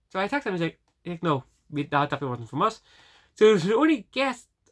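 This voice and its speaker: A woman with a strong Northern Irish accent speaks at a fairly quick pace and a fairly low pitch. Her pitch swings very widely in a very clean recording with a silent background. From Northern Ireland. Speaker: vlogger. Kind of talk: casual vlog. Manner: fast; halting.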